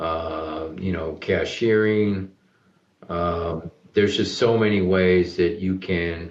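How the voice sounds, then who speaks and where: Very slowly, a man talks in a very deep, low pitch. His intonation is fairly even. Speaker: charity business CEO and founder. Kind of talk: interview.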